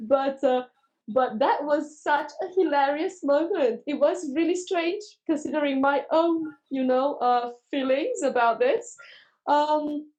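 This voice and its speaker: A woman with a high voice talks at a fairly slow pace, her pitch varying in an ordinary way. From Romania. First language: Romanian. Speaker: teacher and trainer. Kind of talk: casual interview chat.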